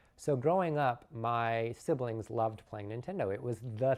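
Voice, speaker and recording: A man with an American accent talks at a moderate pace in an unremarkable speaking voice, medium in pitch with ordinary pitch variation, against a quiet background. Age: 30s. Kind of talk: personal testimony.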